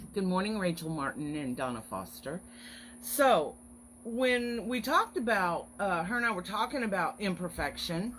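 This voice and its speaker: At a moderate pace, a woman speaks at a medium pitch with very wide pitch swings. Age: 50s. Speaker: online craft business owner hosting weekly encouragement live stream. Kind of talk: casual live stream chat. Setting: Facebook live video. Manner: chatty, friendly.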